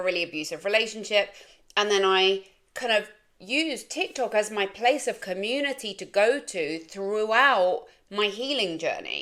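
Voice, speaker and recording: With an English accent, a woman speaks at a fairly high pitch with ordinary pitch variation on a very clean recording with a silent background. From England. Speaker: life coach and content creator. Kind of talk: casual vlog monologue.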